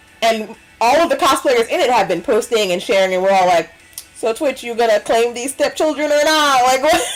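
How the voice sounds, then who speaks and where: Music plays in the background while a woman speaks at a fairly quick pace. Her high voice has lively intonation. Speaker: cosplayer and streamer. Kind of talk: casual chat. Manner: animated.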